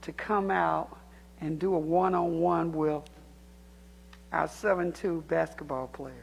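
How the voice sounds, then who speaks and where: A woman with a Southern US accent speaks at a fairly low pitch with ordinary pitch variation. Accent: US South. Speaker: community activist speaking at public comment. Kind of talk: public comment speech. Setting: city council chamber.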